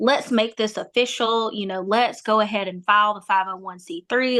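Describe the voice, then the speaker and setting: In a very clean recording with a silent background, a woman speaks at a moderate pace and medium pitch in a bright, sharp tone. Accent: strong Southern US. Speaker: nonprofit founder. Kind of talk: interview. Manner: animated.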